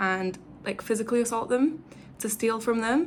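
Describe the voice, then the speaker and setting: A woman speaks with an English accent. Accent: English accent, noticeable to Brazilians. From England. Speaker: travel vlogger. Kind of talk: casual chat. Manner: casual, filler-heavy.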